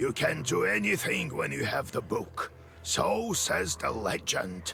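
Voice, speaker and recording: Over clear background noise, a man talks at a fairly slow pace in a put-on character voice. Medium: video game. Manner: measured, instructive.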